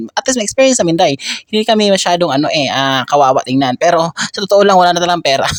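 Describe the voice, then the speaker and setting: Speaking at a very fast pace, a man with a high pitch comes across dry and close with no echo, over noticeable background noise. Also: lively intonation. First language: Cebuano (Bisaya) (speaking Tagalog). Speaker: vlogger. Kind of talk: travel vlog. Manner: animated, frequent laughter.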